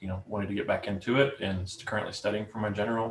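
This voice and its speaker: A man with a Southern US accent speaks at a fairly low pitch. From US South, Alabama. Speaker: prospective club member, ham radio hobbyist. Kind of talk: self-introduction in club meeting. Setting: video call.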